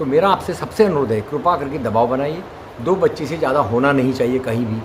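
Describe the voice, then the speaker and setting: The speaker's intonation is lively against noticeable background noise. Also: man. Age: 70s. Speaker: retired civil servant and activist. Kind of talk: interview. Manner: earnest, exhortative.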